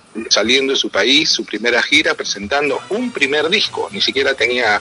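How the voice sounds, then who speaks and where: Music plays behind the speaker. A man talks at a moderate pace. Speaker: radio announcer. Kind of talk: interview answer.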